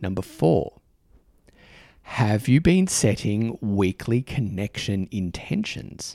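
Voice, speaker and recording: This man speaks very slowly in a fairly low pitch with an Australian accent, his tone warm, dark and mellow. His intonation is lively, and the sound is dry and close with no echo. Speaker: podcast host. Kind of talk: casual chat. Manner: warm, informal, hesitant with fillers.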